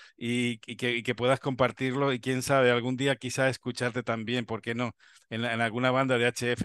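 A man with a Spanish accent speaks at a moderate pace in a flat, monotone way, the sound dry with no echo and the background quiet. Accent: Peninsular Spanish. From Spain. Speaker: amateur radio show host. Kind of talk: interview. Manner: halting, repetitive. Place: home room. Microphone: video call.

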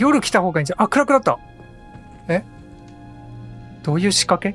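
Over music in the background, a man speaks at a very fast pace and a high pitch. His pitch swings very widely in a dry, close sound with no echo. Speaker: gaming commentator. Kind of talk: casual let's play commentary. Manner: calm, occasionally loud when startled.

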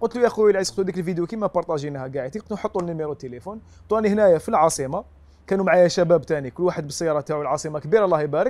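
A man talks at a very fast pace, his high pitch showing ordinary variation. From Algeria. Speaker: volunteer and content creator; interview guest. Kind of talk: TV interview. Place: home room. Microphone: lapel.

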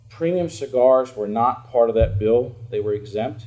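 With a dark, mellow tone and a somewhat breathy sound, a man talks at a moderate pace with ordinary pitch variation. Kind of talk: open message to lawmakers. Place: office. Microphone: camera far.

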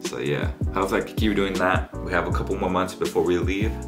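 A man races along at a very fast pace while music comes through clearly behind him. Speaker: student vlogger. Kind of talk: casual vlog chat. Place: home room.

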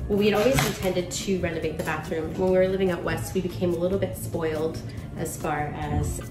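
A woman speaks over clear background music. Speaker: home renovator vlogger. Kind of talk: casual vlog chat. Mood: calm, reflective. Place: kitchen. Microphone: phone near.

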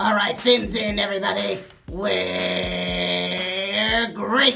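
A cartoonish character voice that sounds female speaks at a very slow pace, with faint music in the background. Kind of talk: parody TV commercial read. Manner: upbeat.

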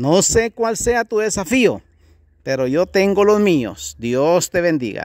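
Very slowly, a man with a high voice speaks with very wide pitch swings. The sound is dry and close with no echo, and the recording is very clean with a silent background. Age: 50s. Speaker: pastor. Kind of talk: sermon.

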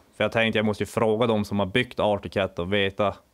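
Against a quiet background, a man speaks with monotone, flat intonation. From northern Sweden, Lycksele; Sweden. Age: 20s. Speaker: snowmobile water-cross racer. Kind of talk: interview. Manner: halting. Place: garage.

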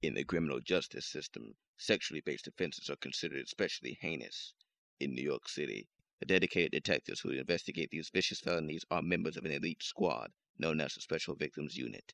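A man speaks very fast in a very deep, low voice with a bright, sharp tone and vocal fry. His pitch varies in an ordinary way, and the sound is dry and close with no echo. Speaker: voice actor. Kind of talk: dramatic TV crime-drama opening narration.

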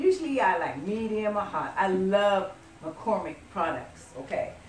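A woman with lively intonation is heard with audible room echo and light background noise. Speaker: home cook host. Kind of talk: cooking tutorial. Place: kitchen. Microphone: camera far.

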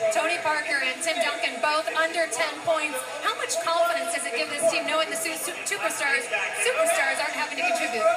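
Loud background noise sits behind the recording. A woman talks at a fairly quick pace. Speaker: sports sideline reporter. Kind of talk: sideline interview questions. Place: stadium. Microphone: handheld.

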